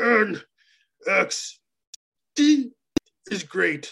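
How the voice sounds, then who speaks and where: This is a put-on character voice. It sounds raspy. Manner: self-pitying, slurring.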